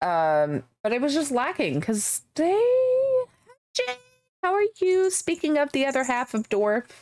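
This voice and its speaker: Speaking at a very slow pace, a woman with a slight Southern US accent keeps her loudness very even. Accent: slight Southern twang. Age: 30s. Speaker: gaming streamer. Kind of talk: casual chat. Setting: live stream.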